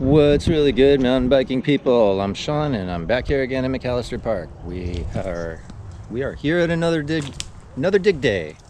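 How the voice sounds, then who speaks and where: Against noticeable background noise, a man speaks at a medium pitch and a moderate pace, his pitch swinging very widely. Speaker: mountain biking vlogger, trail builder. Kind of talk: casual vlog narration. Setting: outdoors at bike park. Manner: stutters at times.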